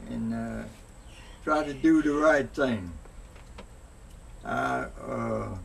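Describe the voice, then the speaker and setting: A man's very deep, low voice with very wide pitch swings, a very slow pace, long and frequent pauses, and noticeable background noise. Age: 80s+. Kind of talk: interview answer.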